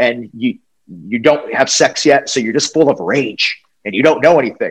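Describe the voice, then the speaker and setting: This is a man with a normal speaking voice at medium pitch. He keeps a moderate pace with ordinary pitch variation. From US Northeast (New England). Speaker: wrestling interviewer. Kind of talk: casual interview chat.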